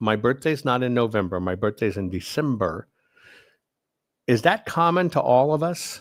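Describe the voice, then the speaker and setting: A man with a medium pitch speaks with lively intonation on a very clean recording with a silent background. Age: 60s. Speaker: livestream host. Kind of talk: casual livestream chat with viewers. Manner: halting, self-correcting.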